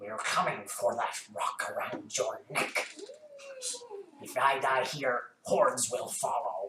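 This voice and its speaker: A man puts on a croaky, raspy character voice. He speaks at a fairly slow pace. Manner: menacing.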